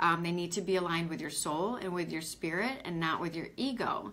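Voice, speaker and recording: Woman's voice, fairly low in pitch, with audible room echo. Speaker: spiritual coach. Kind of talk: live online training. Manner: fast.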